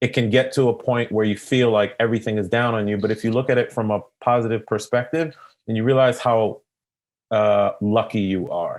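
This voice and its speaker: A man with an American accent speaks at a fairly quick pace in an unremarkable speaking voice, medium in pitch. His intonation stays fairly even against a quiet background. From Boston, US. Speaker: consultant and real estate investor. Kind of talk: interview.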